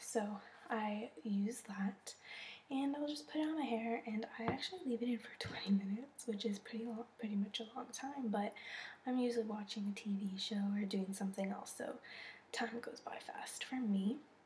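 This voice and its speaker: A woman is whispering in a breathy voice over noticeable background noise. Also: moderate pace. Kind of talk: casual talk to camera.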